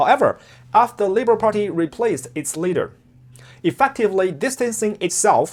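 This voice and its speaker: The recording is very clean, with a silent background. The speaker has a strong Chinese accent. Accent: heavy Chinese. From China. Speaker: political commentator. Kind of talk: scripted commentary.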